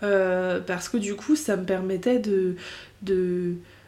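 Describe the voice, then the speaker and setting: A woman speaks while noticeable background noise can be heard. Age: 20s. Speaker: podcaster. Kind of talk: casual monologue. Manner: hesitant, many fillers.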